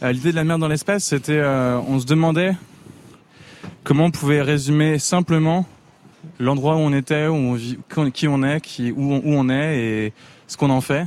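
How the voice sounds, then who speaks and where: This man's voice is fairly high, with fairly even intonation. He keeps a moderate pace with long, frequent pauses. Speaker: band member. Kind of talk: interview chat.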